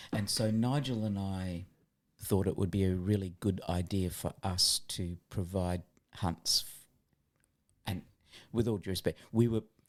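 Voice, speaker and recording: With an Australian accent, a man speaks slowly-ish with fairly low pitch and fairly even intonation. He takes long, frequent pauses, and the recording is very clean with a silent background. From Australia, Adelaide. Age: 60s. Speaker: physiotherapist and former hunting guide. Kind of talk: podcast interview.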